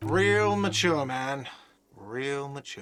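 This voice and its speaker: In a put-on character voice, a man shouts in a whiny way at a medium pitch, his pitch varying in an ordinary way. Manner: shouting, sarcastic.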